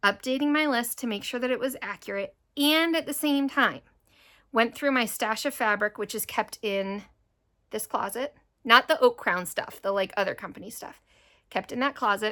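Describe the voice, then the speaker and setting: On a very clean recording with a silent background, a woman with a high voice sounds animated, her pitch varying in an ordinary way. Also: moderate pace. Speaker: cross-stitch video creator and fabric dyer. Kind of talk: casual chat.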